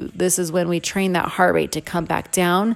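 A woman with a medium pitch talks at a moderate pace in an energetic, upbeat tone. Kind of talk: fitness class instruction. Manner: upbeat, encouraging coaching tone; clear, energetic, directive cues.

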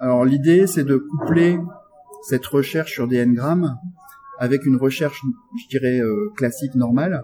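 Fairly slow speech with long, frequent pauses and ordinary pitch variation, over noticeable background noise. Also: man, fairly high pitch for a man. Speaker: software developer and tech evangelist. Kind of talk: technical interview. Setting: backstage at a tech conference.

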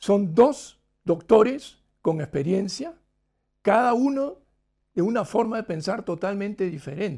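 A man's high-pitched, dark, mellow voice with lively intonation at a very slow pace. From Peru (Lima). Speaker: novelist being interviewed by a book club. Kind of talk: live interview over video call.

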